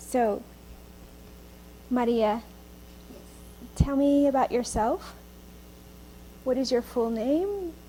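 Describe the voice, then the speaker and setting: Woman with a high pitch and ordinary pitch variation, very slow pace, long, frequent pauses, noticeable background noise. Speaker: oral history interviewer. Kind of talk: interview questions.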